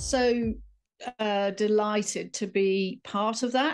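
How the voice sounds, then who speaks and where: In a very clean recording with a silent background, a woman speaks with a British accent at a fairly high pitch, her intonation fairly even. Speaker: writer and life coach. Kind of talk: interview.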